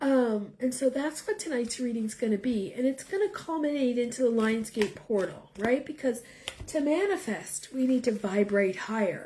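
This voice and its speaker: A woman speaks at a high pitch with lively intonation and a fairly slow pace. Noticeable background noise runs behind her. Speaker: tarot reader. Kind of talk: live-stream tarot reading chat. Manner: casual, hesitant with fillers.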